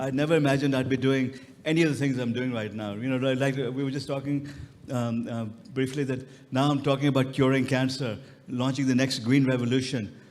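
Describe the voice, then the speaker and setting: In a room with audible echo, a man speaks at a fairly quick pace in a medium pitch with monotone, flat intonation. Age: 60s. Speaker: retired professor and tech entrepreneur. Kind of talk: panel interview.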